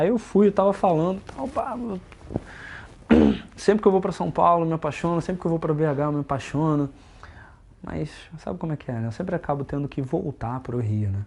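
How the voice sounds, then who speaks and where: Talking at a fairly quick pace with a Rio de Janeiro accent, the speaker leaves long, frequent pauses. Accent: Rio de Janeiro carioca. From Rio de Janeiro, Brazil. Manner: relaxed, swaggering, seductive.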